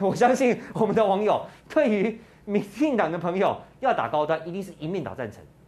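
The speaker moves at a fairly quick pace in an animated tone, with lively intonation. Loudness swings widely, and background noise is noticeable. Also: man, high pitch for a man. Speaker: political talk show host. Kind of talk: casual political commentary.

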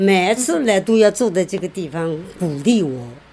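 Noticeable background noise sits behind a woman's voice. Her pitch is fairly low and her intonation lively. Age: 70s. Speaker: care recipient. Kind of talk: interview. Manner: halting.

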